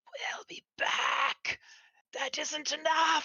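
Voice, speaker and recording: A raspy, whispering put-on character voice. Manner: menacing.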